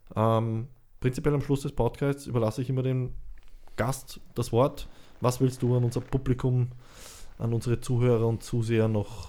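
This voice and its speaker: A man with a dark, mellow tone talks at a fairly slow pace, with long, frequent pauses. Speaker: podcast host. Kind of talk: casual interview.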